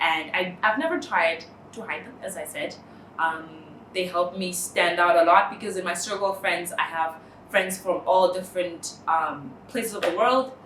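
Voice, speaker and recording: A woman speaks in a Namibian accent at a medium pitch and moderate pace, with ordinary pitch variation. Audible room echo and noticeable background noise are present. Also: big swings in loudness. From northern Namibia. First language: Oshiwambo. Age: 20s. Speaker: interviewee. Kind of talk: personal testimony. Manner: hesitant, many fillers.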